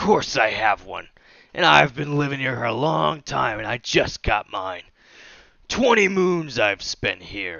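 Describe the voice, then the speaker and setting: A man puts on a raspy character voice at a medium pitch with very wide pitch swings. He keeps to a fairly slow pace. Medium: actual play. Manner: gruff, blustering.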